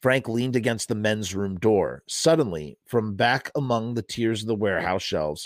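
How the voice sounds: It's a natural reading voice. Pitch variation is ordinary.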